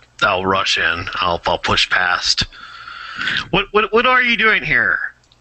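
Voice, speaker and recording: Loud and at a very slow pace, a man performs a put-on character voice. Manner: loud, commanding.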